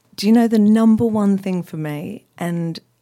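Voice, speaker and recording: Speaking with an Australian accent, a woman has a dark, mellow tone and ordinary pitch variation. She keeps a moderate pace in a very clean recording with a silent background. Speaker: cocktail blogger and art director. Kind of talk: casual chat. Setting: studio.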